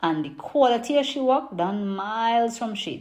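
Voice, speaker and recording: A Trinidadian accent at a fairly slow pace. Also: woman. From Trinidad and Tobago. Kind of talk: poetry reading.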